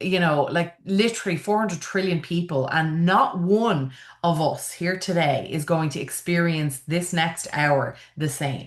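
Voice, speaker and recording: A woman with an Irish accent speaks at a fairly slow pace and fairly low pitch, with audible room echo. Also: ordinary pitch variation. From Ireland, Dublin. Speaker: funeral celebrant and event planner. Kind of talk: online conference presentation. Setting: video call.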